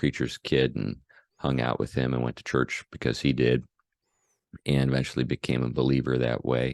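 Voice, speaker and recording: In a dry, close recording with no echo, a man speaks at a moderate pace in a very deep, low voice marked by vocal fry. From US Northeast/Midwest (Buffalo, St. Louis). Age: 60s. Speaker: pastor. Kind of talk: interview. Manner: hesitant, many fillers.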